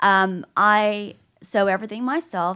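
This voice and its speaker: The recording is very clean, with a silent background. A woman speaks in a bright, sharp tone with fairly even intonation. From Tennessee, Chattanooga. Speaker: clothing line owner. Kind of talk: radio interview. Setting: studio.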